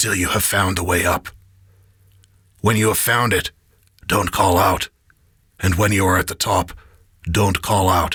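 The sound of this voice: A man uses a raspy, put-on character voice with a very deep, low pitch and flat, monotone intonation, at a moderate pace with long, frequent pauses. The recording is very clean with a silent background and a dry, close sound with no echo.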